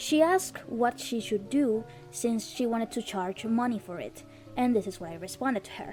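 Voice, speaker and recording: Over music in the background, a woman speaks at a moderate pace in a fairly high voice with lively intonation. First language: not English. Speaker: indie game developer. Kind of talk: personal commentary video.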